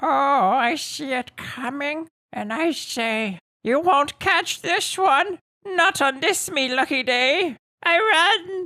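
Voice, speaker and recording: The pace is very slow. What you hear is a put-on character voice. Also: man, extremely high pitch for a man. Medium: actual play.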